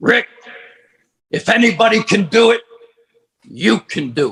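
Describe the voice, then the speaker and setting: A man's put-on character voice, high-pitched and at a moderate pace. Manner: encouraging.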